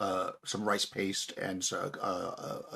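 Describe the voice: The delivery is plain reading aloud.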